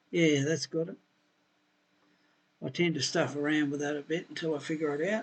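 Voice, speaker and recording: Talking at a fairly quick pace with an Australian accent, a man keeps his intonation fairly even yet takes long, frequent pauses. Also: fairly high pitch for a man. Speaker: software tutorial maker, building designer. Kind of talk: screen-recorded software tutorial. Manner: casual, thinking aloud.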